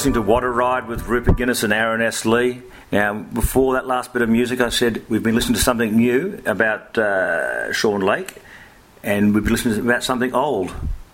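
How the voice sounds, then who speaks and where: Speaking at a fairly quick pace in an Australian accent, a man keeps a medium pitch and fairly even intonation. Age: 50s. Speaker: sports journalist and podcast host. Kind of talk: casual chat.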